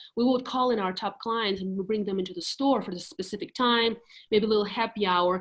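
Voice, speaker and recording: The speaker, with a Russian accent, moves at a fairly quick pace with ordinary pitch variation. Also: woman. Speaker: real estate agent. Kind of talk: casual interview on live video call.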